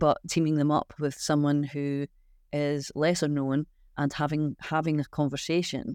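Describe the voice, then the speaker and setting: The recording is very clean with a silent background. The speech moves at a moderate pace. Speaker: branding agency founder and design body president. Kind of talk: panel discussion.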